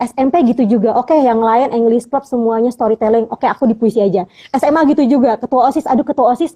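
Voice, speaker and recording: A woman talks very fast in a high pitch with ordinary pitch variation. Her tone is dark and mellow, and the sound is dry and close with no echo. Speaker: poetry recitation champion. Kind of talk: casual interview. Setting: live video stream.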